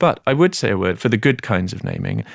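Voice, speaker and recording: A man with an English accent speaks at a fairly low pitch. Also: very clean recording, silent background. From Britain. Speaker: author. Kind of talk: interview.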